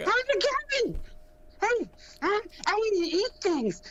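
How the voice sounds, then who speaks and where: Light background noise sits under a put-on character voice at an extremely high pitch. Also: fairly slow pace. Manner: goofy.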